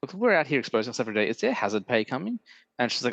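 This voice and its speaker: A man's voice comes through with a dry, close sound with no echo against a quiet background. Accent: Australian. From Australia. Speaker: podcast host. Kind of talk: casual chat.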